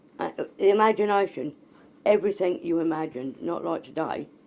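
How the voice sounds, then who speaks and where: A woman speaks with a dark, mellow tone and vocal fry. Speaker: Traveller sharing life memories. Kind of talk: oral history interview. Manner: casual, conversational.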